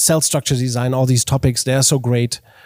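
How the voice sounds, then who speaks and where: With no echo at all, the recording of a man sounds dry and close. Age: 40s. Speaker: organizational consultant and keynote speaker. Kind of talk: interview. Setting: coworking space. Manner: halting, many restarts and repetitions.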